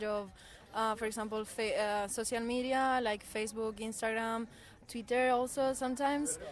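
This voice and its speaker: Her fairly high pitch holds fairly even intonation as this woman keeps a moderate pace. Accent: Spanish. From southern Spain, near Seville. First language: Spanish. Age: 20s. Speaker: volunteer. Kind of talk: radio interview.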